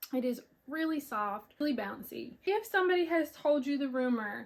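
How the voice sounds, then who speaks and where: This woman has a high voice and an American accent. She speaks at a moderate pace. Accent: Southern US country accent, coming out more. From US South, Pensacola, Florida. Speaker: knitting podcaster. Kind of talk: casual chat. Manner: animated.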